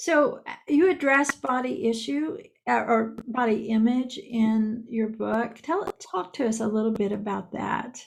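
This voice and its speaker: Her voice is an unremarkable speaking voice, fairly high for a woman, with lively intonation at a fairly slow pace. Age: 60s. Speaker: podcaster and author. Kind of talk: casual chat.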